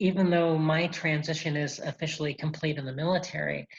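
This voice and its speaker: Speaking in a very deep, low register, the woman sounds somewhat breathy and keeps a flat, monotone intonation. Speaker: military non-commissioned officer and presenter. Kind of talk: presentation with slides.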